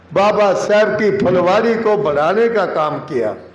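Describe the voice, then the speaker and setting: A man in a space with audible room echo and noticeable background noise. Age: 80s+. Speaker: speaker at a community event. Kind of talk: public speech. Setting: auditorium with audience. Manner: impassioned.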